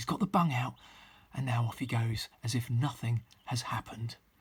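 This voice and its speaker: A somewhat breathy man at medium pitch. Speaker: wildlife filmmaker. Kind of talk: vlog narration; live wildlife commentary. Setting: at home, garden. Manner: quiet, hushed; animated.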